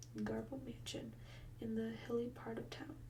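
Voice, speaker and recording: Noticeable background noise sits behind a soft-spoken voice. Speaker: ASMR creator. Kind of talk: reading aloud from a novel.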